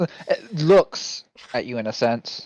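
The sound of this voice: This is an unforced reading voice. It carries the whole clip.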